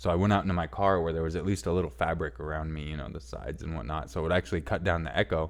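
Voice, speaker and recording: A man speaks at a very fast pace with hardly any pauses, his very deep, low voice raspy and full of vocal fry. The background is quiet. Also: ordinary pitch variation. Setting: inside a car.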